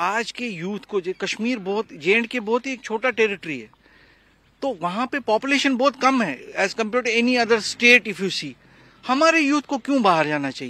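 A man with a high pitch uses a raised, projected voice at a moderate pace. His intonation is lively, and the sound is dry with no echo. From Kashmir. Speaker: Kashmiri Pandit, terror victim's son; interviewee. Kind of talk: panel discussion. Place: garden. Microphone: handheld.

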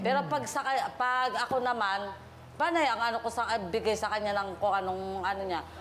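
The delivery is fairly quick, with ordinary pitch variation and very even loudness. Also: woman, fairly high pitch for a woman. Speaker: guest in a neighborhood dispute on a TV confrontation show. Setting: TV studio.

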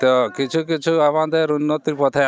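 With music playing behind him, a man speaks in a fairly high register, his pitch varying in an ordinary way. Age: 60s. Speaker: farmer. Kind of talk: street interview.

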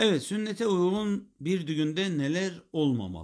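A man's pitch swings very widely. Behind him, the background is quiet. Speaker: Islamic preacher teacher. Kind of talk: religious lecture. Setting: live stream. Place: home room.

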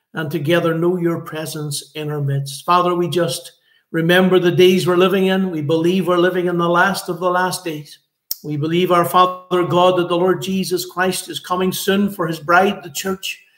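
A high-pitched male voice, monotone and flat, at a moderate pace, with faint music in the background and audible room echo. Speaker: preacher leading online service. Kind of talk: announcements then prayer. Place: home room. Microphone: webcam.

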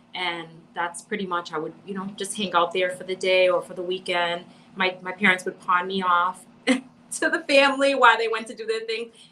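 Amid light background noise, a woman talks at a fairly quick pace with big swings in loudness and ordinary pitch variation. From Worcester, Massachusetts and the Bronx; Massachusetts. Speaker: gospel singer and songwriter; guest. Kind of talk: interview testimony. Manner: halting. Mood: reflective, candid. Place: home room. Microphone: video call.

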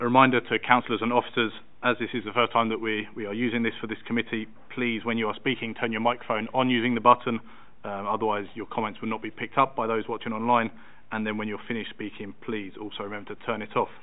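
A man speaks at a very fast pace. His delivery is monotone and flat. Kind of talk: formal meeting chairing. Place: meeting room. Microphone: podium.

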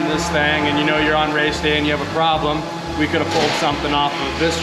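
The speech moves at a fairly quick pace, with clear music in the background. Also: man. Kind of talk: interview answer. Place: garage. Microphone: camera far.

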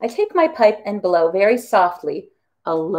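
The background stays quiet. The words are read aloud in a natural voice.

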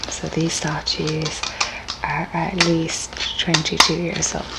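Against loud background noise, a woman speaks at a very slow pace. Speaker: vlogger. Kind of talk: casual vlog chat. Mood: playful, cheerful. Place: home room. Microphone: studio mic.

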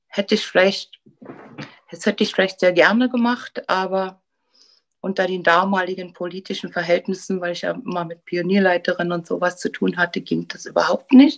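A woman's voice at a moderate pace with fairly even intonation and big swings in loudness, over a quiet background. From Berlin, Germany. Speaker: beautician and salon owner. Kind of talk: oral-history storytelling. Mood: warm, nostalgic, content. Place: home room. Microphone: video call.

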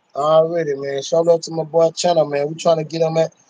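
A man's fairly high-pitched voice with a slightly mellow tone

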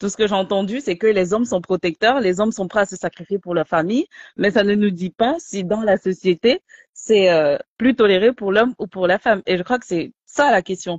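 A woman talks at a moderate pace with ordinary pitch variation, against a quiet background and a dry sound with no echo. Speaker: debate participant. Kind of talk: heated debate. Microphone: phone near.

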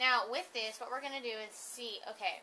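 The voice moves at a moderate pace with ordinary pitch variation, and noticeable background noise runs underneath. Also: woman. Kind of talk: tutorial. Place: home room. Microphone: phone near.

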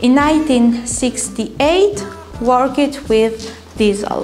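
A woman with a high voice speaks over faint background music. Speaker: tour guide. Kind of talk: guided tour explanation. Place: tunnel cave. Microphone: camera far.

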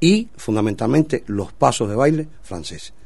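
The intonation rises and falls in a lively way. The speaker is a man. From Cuba. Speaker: singer. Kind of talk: radio interview. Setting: studio. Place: studio.

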